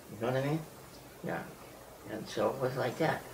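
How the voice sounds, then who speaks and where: A man talks over noticeable background noise. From United States. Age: 80s+. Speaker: wandering sadhu. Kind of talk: interview answer. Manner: hesitant.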